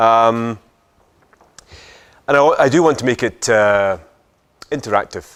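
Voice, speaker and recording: Speaking with a Scottish accent, a man uses a medium pitch, ordinary pitch variation and a fairly slow pace. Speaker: business speaker, social entrepreneur. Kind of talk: talk to audience. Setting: lecture hall with audience. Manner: hesitant fillers.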